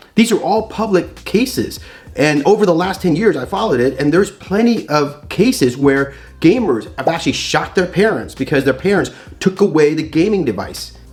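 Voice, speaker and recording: Against noticeable background noise, a man speaks in a high pitch with an animated tone and lively intonation. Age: 50s. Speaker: doctor and YouTube educator. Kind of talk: educational talk. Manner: fast.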